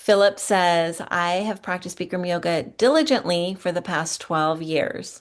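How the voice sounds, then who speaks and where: A woman speaks in a normal speaking voice at a fairly low pitch and a moderate pace. The background is quiet. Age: 50s. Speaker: yoga studio owner and teacher. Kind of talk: webinar presentation.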